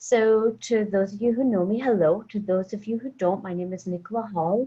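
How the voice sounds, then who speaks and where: Her tone dark and mellow and somewhat breathy, a woman speaks at a moderate pace with ordinary pitch variation. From Scotland. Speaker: wine scientist. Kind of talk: webinar interview. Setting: video call from home.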